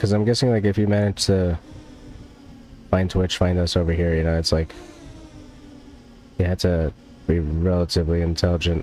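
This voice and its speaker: A man's very deep, low voice with an American accent, fairly even intonation, very even loudness, a fairly quick pace broken by long, frequent pauses, and music in the background. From US, New Jersey. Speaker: gaming streamer. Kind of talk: casual chat. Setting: live stream.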